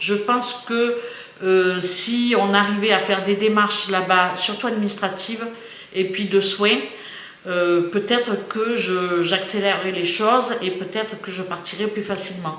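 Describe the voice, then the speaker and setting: A woman speaks at a fairly slow pace with fairly even intonation. Both audible room echo and noticeable background noise come through. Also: medium pitch for a woman. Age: 60s. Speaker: YouTuber. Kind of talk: casual chat. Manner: halting.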